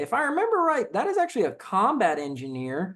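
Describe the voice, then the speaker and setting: A man talks with a slight Southern US accent. The background is quiet. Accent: slight Southern twang. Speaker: soldier and gun video creator. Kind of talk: casual comment reaction. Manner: casual, many fillers and repetitions.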